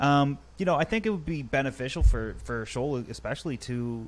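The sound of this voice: A man talks at a fairly quick pace, his medium-pitched voice carrying lively intonation.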